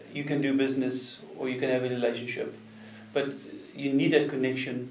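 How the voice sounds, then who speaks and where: Noticeable background noise and audible room echo accompany a man of medium pitch speaking at a fairly quick pace in a flat monotone. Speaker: business consultant. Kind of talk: interview. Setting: studio.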